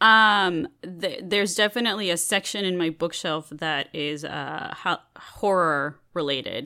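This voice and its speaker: Recorded very cleanly against a silent background, a woman with a fairly low pitch and a bright, sharp tone talks at a fairly slow pace with hardly any pauses and ordinary pitch variation. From Mexico. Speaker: entertainment show host and self-described professional nerd. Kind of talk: casual chat. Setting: in the host's home.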